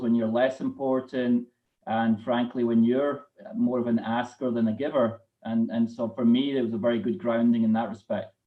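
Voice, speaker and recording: A man with a Scottish accent, medium pitch, fairly even intonation and a moderate pace. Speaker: corporate treasurer. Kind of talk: live interview.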